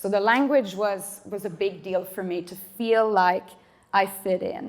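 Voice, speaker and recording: A woman speaks with medium pitch in a Swedish accent. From Sweden, Stockholm. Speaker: panelist, immigrant community coordinator. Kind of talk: panel discussion.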